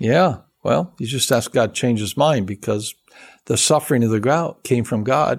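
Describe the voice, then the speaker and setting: An American-accented man with an unremarkable speaking voice talks at medium pitch and a moderate pace with ordinary pitch variation, on a very clean recording with a silent background. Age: 60s. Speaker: seminary professor and pastor. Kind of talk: casual interview conversation.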